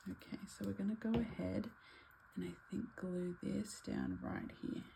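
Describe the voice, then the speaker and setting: A soft-spoken woman talks at a fairly slow pace over noticeable background noise. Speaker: craft YouTuber. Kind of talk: tutorial. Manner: casual.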